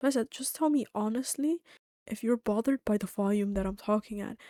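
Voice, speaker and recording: Soft-spoken and fairly quick, a woman with a fairly high pitch, a dark, mellow tone and lively intonation is heard in a dry, close sound with no echo on a very clean recording with a silent background. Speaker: streamer. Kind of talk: casual chat. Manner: quiet.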